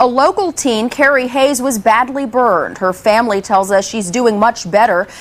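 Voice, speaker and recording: Noticeable background noise sits behind a woman with a high-pitched voice. She talks at a moderate pace with lively intonation. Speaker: television news reporter and anchor. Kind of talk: TV news reporting and anchoring. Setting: studio news desk.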